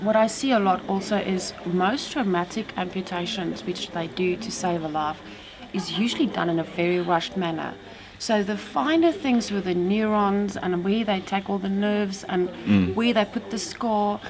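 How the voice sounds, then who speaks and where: A woman speaks at a moderate speed. Her pitch varies in an ordinary way, and noticeable noise sits in the background. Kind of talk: interview answer. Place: shop.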